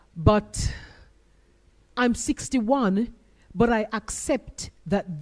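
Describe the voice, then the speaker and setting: A somewhat breathy woman at a very slow pace, with very wide pitch swings, on a very clean recording with a silent background. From Jamaica. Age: 60s. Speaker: panelist. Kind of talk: panel discussion. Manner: animated.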